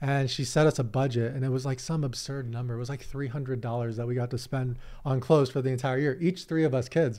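Speaking at a fairly quick pace, a man with an American accent has a medium pitch, a slightly mellow tone and fairly even intonation.

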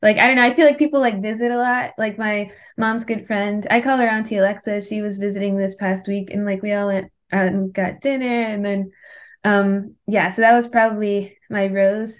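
Moderately paced, an unremarkable speaking voice from a woman at a medium pitch, with fairly even intonation and a quiet background. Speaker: podcast host. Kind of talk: casual interview. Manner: casual, filler-heavy.

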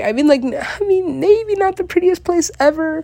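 A woman speaks over noticeable background noise. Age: 20s. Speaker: solo podcaster. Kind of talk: casual monologue. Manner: animated.

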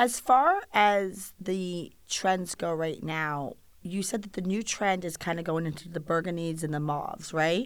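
In a plain, everyday voice, a woman talks at a fairly slow pace with hardly any pauses and ordinary pitch variation, on a very clean recording with a silent background. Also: fairly low pitch for a woman. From Rhode Island, US. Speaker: podcast host, wedding photographer. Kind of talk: interview. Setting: in person, sitting across from guest.

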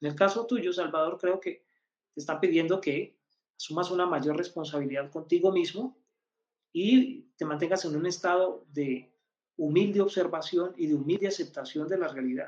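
A man talks at a high pitch and a moderate pace, with ordinary pitch variation. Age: 50s. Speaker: numerologist. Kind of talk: live-stream teaching.

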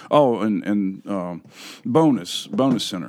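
A man with lively intonation and a northern US accent. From US North. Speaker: podcast host. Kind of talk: casual chat.

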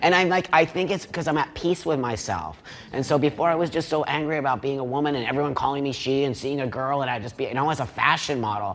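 Over noticeable background noise, a man with a fairly high pitch and ordinary pitch variation talks very fast. He hardly pauses at all. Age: 50s. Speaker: panel participant. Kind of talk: panel debate.

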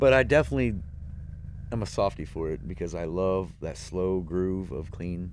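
A man with a very deep, low pitch speaks with lively intonation at a moderate pace. Room echo is audible. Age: 40s. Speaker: drummer. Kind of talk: casual chat. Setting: studio.

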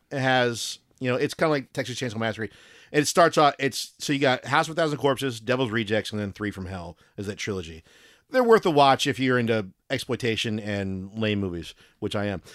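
Lively in intonation, a man with an ordinary speaking voice talks at a fairly quick pace in a medium pitch on a very clean recording with a silent background. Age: 40s. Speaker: podcast host. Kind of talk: casual chat.

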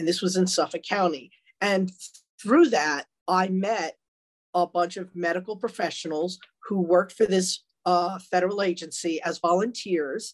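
With a Long Island accent, a woman speaks at a medium pitch and with fairly even intonation. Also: moderate pace. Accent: New York (Long Island). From Long Island, New York. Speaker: retired detective, author. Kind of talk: interview.

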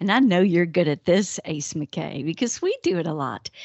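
A woman speaks in a Southern US accent. Her tone is animated, and her pace is fairly slow. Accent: acquired Southern drawl. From northern US. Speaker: podcast co-host. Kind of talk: casual chat.

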